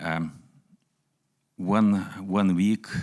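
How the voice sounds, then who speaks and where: With a Lithuanian accent, a man talks in a very deep, low voice. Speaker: entrepreneur. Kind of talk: speech. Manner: halting.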